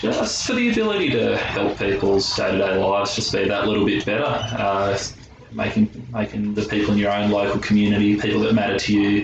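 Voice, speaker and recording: With music in the background and audible room echo, a man with a rural Australian accent talks at a fairly quick pace in a fairly low, monotone, flat voice. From Australia, rural New South Wales farm. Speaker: pharmacy intern. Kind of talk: interview testimony.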